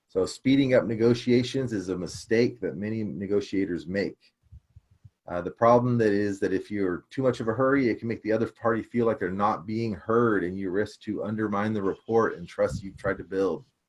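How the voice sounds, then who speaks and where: Ordinary pitch variation from a man at a fairly quick pace. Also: fairly low pitch for a man. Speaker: real estate investor and book club host. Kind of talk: online book club discussion. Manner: calm.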